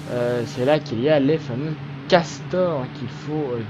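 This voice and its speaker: Through noticeable background noise, a man speaks at a very slow pace. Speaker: gaming let's player. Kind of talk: let's play commentary. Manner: calm, quiet voice; hesitant, many fillers. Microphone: voice may be too quiet against game.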